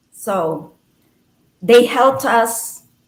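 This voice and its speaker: A woman's voice carries audible room echo. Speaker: poet and former nurse. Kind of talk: interview.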